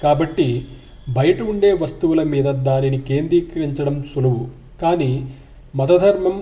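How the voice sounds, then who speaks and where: In a calm tone, a man with a fairly high pitch speaks in a somewhat breathy voice with a dark, mellow tone and ordinary pitch variation. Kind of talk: spiritual book reading.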